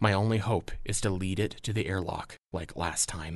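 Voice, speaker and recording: Against a quiet background, the speaker uses a dramatic tone at a fairly slow pace. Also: man. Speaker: audio drama narrator and creator. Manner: urgent, suspenseful, building dramatic tension.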